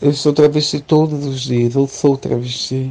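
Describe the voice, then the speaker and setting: A woman's very deep, low voice with a dark, mellow tone and fairly even intonation. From Brazil, Recife (Pernambuco). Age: 20s. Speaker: student. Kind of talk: interview testimony. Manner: halting.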